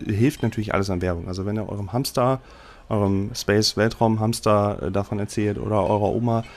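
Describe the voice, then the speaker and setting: Music sits in the background. A man speaks at a moderate pace in a fairly low pitch. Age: 30s. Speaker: podcast host and game master. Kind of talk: casual podcast intro monologue. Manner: casual with filler words.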